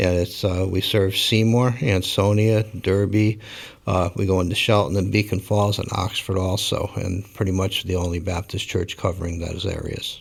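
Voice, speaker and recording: A man speaks with a fairly low pitch and fairly even intonation. His voice is somewhat breathy. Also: moderate pace. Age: 60s. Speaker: pastor. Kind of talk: interview.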